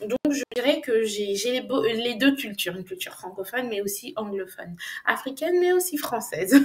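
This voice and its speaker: At a moderate pace, the speaker's pitch swings very widely over noticeable background noise. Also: woman, high pitch for a woman. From Côte d'Ivoire and France. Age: young. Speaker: English business language coach. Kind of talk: interview.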